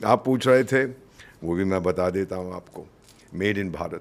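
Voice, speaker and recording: A man speaks at a moderate pace. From India. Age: 70s. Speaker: retired diplomat. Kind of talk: interview. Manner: animated.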